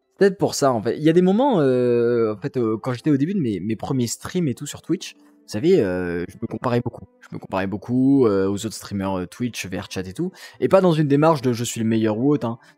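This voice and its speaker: A man at medium pitch speaks at a fairly quick pace with hardly any pauses, very wide pitch swings and big swings in loudness. His tone is dark and mellow, and the sound is dry and close with no echo. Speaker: VRChat roleplay streamer. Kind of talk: casual live-stream chat. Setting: live stream from home apartment. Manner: hesitant, many fillers.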